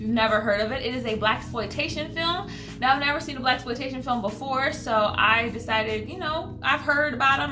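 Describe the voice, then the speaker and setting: The speech moves at a fairly quick pace, with music in the background and audible room echo. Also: woman. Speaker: movie review youtuber. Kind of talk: casual vlog review. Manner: fast; animated.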